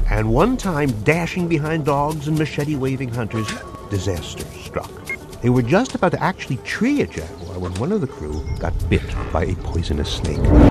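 A moderate pace over clear background music, with a dry sound and no echo. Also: man. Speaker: radio show host. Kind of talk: radio documentary narration.

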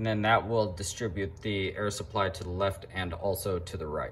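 Over light background noise, a man speaks at a fairly quick pace in a somewhat breathy voice. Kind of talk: casual vlog chat. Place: garage. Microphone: phone near.

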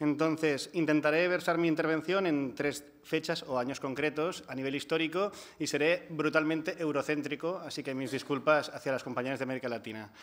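A man in a Catalan accent, fairly high-pitched and fairly quick, with fairly even intonation and hardly any pauses. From Catalonia. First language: Catalan (speaking Spanish). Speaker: housing and energy rights activist; panelist. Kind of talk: conference panel talk. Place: hall. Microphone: podium.

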